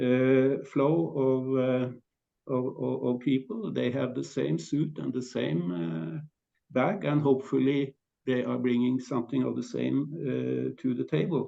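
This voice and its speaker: With a Norwegian accent, a man talks at a fairly slow pace. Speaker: panelist. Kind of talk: panel discussion. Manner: halting.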